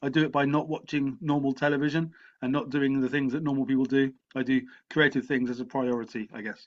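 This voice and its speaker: Against a quiet background, a man with an English accent talks at a very fast pace with fairly even intonation. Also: fairly high pitch for a man. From England. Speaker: writer and lecturer. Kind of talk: interview. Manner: halting, with repetitions.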